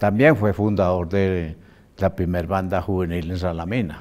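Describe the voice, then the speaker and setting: This man's voice sits very deep and low, with fairly even intonation. He speaks at a fairly slow pace. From Colombia, Tolima and Manzanares, Caldas; Colombia. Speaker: band musician and director; interviewee. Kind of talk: interview; interview answer. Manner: halting. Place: studio.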